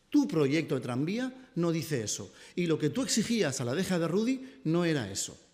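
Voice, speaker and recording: A man's fairly high-pitched voice with very wide pitch swings and audible room echo. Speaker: city councillor. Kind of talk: press conference. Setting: press conference. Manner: fast.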